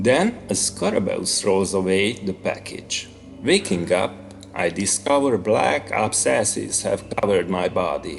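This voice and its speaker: A man speaks with a Hungarian accent at a fairly slow pace. Music plays in the background. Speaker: author. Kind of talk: horror story reading.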